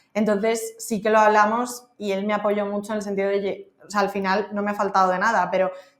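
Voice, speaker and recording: At a very fast pace, a woman speaks at a medium pitch in a monotone, flat intonation. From Madrid, Spain. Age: 30s. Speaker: freelance marketing consultant. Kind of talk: podcast interview.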